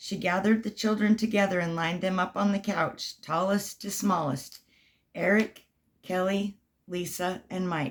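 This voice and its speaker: A woman puts on a raspy character voice at medium pitch. She keeps a moderate pace and a fairly even intonation. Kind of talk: bedtime story. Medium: read story. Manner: gentle, warm.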